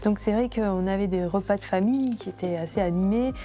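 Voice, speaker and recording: A woman with a medium pitch keeps a moderate pace while noticeable background noise carries on. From France, Grenoble area. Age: 30s. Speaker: entrepreneur. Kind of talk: interview testimony.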